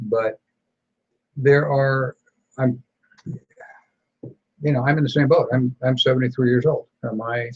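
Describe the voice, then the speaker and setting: A somewhat breathy voice belongs to a man. He has an American accent and a medium pitch. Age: 70s. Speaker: gun rights talk show host. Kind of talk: casual chat.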